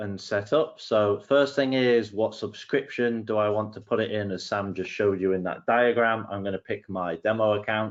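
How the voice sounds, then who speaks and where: Speaking with an English accent, a man holds a medium pitch and a moderate pace with ordinary pitch variation. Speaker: solutions engineer. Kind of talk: tutorial. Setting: webinar.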